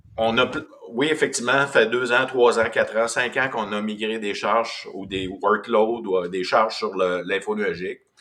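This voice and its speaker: A man speaks with a Quebec accent at a medium pitch and a moderate pace. His tone is bright and sharp, with ordinary pitch variation. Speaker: business development manager. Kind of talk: webinar presentation.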